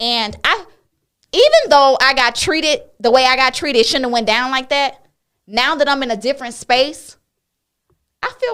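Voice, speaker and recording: A loud woman with a high voice comes through on a very clean recording with a silent background. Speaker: talk show host. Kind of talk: casual chat.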